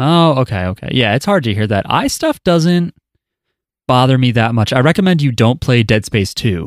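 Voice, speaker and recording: On a very clean recording with a silent background, a man of medium pitch speaks with an American accent, lively intonation and very even loudness. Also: moderate pace. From New Jersey. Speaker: podcast host. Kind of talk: casual chat.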